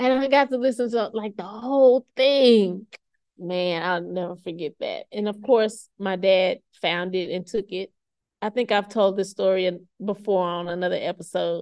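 At a moderate pace, a woman speaks with medium pitch and ordinary pitch variation in a dry, close sound with no echo. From US South. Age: 40s. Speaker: podcast host and library staff. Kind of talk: casual solo chat. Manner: laid-back.

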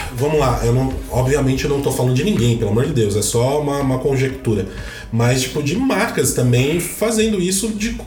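A man's fairly high voice with very wide pitch swings and very even loudness, at a moderate pace, amid noticeable background noise and audible room echo. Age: 30s. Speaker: podcast host. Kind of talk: casual chat. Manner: animated.

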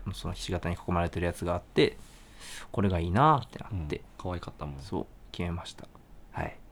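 The voice is somewhat breathy and moves at a very fast pace with ordinary pitch variation. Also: man, very deep, low pitch for a man. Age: 20s. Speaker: band vocalist and guitarist, podcast co-host. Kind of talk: casual chat.

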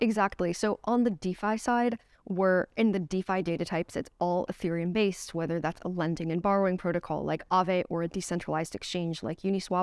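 A woman with an American accent speaks at a fairly quick pace, with hardly any pauses, in an unremarkable speaking voice at medium pitch. Her intonation stays fairly even, and the sound is dry and close with no echo. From United States. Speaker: crypto research director. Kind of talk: interview. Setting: company office.

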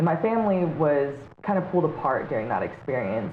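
A woman's very deep, low voice swings very widely in pitch. Background noise is noticeable throughout. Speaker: drone pilot and yoga teacher. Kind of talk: casual interview chat.

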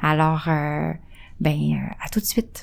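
This is a woman speaking. Her pace is very slow. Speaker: radio host. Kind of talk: casual chat.

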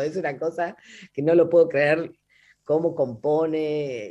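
The woman's pitch is very deep and low. She talks very slowly. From Buenos Aires, Argentina. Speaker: folk singer. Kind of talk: radio interview. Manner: halting.

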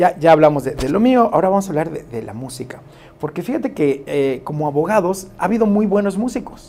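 The speaker moves at a fairly quick pace, with very wide pitch swings and big swings in loudness. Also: man. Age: 50s. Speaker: DJ and lawyer. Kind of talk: radio interview. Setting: studio.

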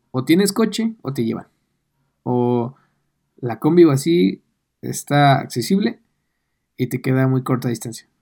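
The man's voice sits at a medium pitch, with a dark, mellow tone and lively intonation. He leaves long, frequent pauses. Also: fairly slow pace. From Mexico City area. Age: 20s. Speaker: podcast co-host. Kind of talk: casual chat.

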